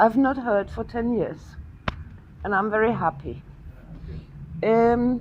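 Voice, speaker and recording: A woman with a German accent, a fairly high pitch, fairly even intonation, and a very slow pace full of long, frequent pauses. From Germany. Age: 60s. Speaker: guest. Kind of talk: speech at event. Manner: simple short sentences.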